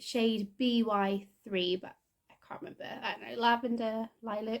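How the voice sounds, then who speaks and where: This woman has an East Midlands accent and a fairly high voice. She speaks at a fairly slow pace. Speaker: knitting podcaster. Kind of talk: casual chat. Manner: hesitant, many fillers.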